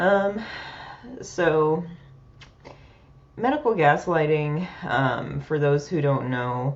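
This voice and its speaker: The speech is very slow, broken by long, frequent pauses. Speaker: peer support podcast host. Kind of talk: personal vlog monologue. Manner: soft-spoken, quieter than usual; hesitant, many fillers.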